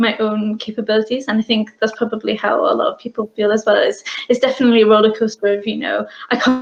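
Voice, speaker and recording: A woman speaks very fast in a fairly high pitch with a British accent. Her intonation is monotone and flat. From UK, Bangladeshi family. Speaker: business owner. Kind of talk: interview.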